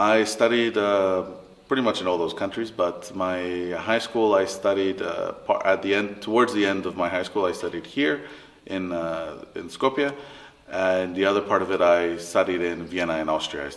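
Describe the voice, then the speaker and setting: A man with a Spanish accent speaks at a moderate pace. His pitch is very deep and low, with ordinary variation. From Latin America, mixed international upbringing. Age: 30s. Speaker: interviewee, family business worker. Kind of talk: interview. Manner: halting.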